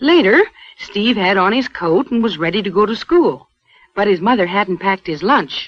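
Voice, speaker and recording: A woman's lively, moderately paced speech in a plain, everyday voice. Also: medium pitch for a woman. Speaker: narrator. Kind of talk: educational film narration.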